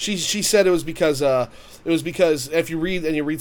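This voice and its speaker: A man with a plain, everyday voice, fairly high in pitch and with ordinary pitch variation. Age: 30s. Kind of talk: casual chat.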